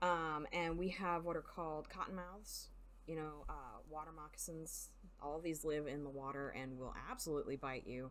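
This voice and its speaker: A woman with a strong Southern US accent talks at a moderate pace in a very deep, low voice, with audible room echo. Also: fairly even intonation. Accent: Southern US twang, strong. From US South. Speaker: video game streamer. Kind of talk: live gaming stream, reading game text aloud.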